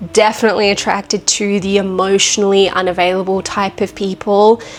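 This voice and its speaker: There is noticeable background noise behind this woman's medium-pitched voice. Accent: Australian. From Australia. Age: 20s. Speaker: vlogger. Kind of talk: casual monologue to camera.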